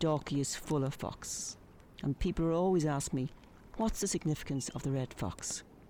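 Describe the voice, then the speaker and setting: Speaking with an Irish accent, a woman has a very deep, low pitch and a dark, mellow tone. Her pace is moderate, with ordinary pitch variation. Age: 50s. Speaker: painter and journalist, podcast storyteller. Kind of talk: scripted narration.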